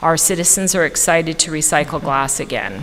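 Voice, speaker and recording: With a Canadian accent, a woman speaks at a fairly low pitch over noticeable background noise. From Canada. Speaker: county solid waste manager. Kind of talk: formal report to a board. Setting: county commissioners work session. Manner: fast.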